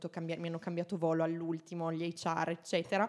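A woman speaks at a fairly low pitch. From Italy. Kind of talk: casual chat.

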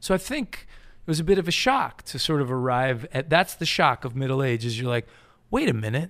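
This is an unremarkable speaking voice with an American accent. It moves at a fairly quick pace with ordinary pitch variation. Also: man, fairly high pitch for a man. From US Northeast (Connecticut). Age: 40s. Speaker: author. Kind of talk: casual chat.

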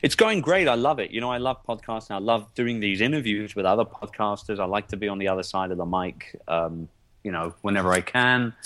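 A man's fairly low voice in a London accent, fairly quick and with hardly any pauses. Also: ordinary pitch variation. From London, England. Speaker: entrepreneur. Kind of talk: interview.

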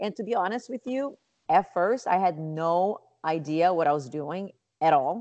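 A woman with a Portuguese accent speaks at a fairly low pitch with lively intonation. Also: moderate pace. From Brazil, Rio de Janeiro. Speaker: nonprofit founder and yoga teacher. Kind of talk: interview.

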